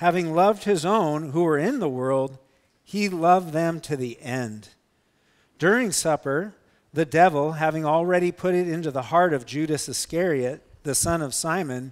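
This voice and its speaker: Moderate pace and ordinary pitch variation from a man, quiet background behind him. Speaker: pastor. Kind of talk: scripture reading in a sermon. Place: church.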